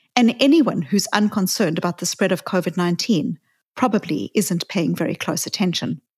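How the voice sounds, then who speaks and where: Somewhat breathy and fairly quick, a woman speaks with ordinary pitch variation in a dry, close sound with no echo and a very clean recording with a silent background. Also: medium pitch for a woman. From South Africa. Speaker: psychologist podcast host. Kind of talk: reflective talk.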